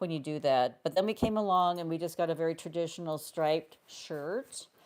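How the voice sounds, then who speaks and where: A woman with a fairly low pitch uses an ordinary speaking voice and ordinary pitch variation. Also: fairly quick pace. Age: 60s. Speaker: fashion vlogger. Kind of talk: live stream chat. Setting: live stream from home. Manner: casual, chatty.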